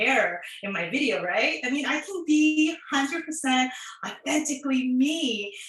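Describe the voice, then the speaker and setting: Audible echo fills the room. A woman talks at a moderate speed. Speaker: occupational therapist and online content creator. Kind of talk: prepared talk to students.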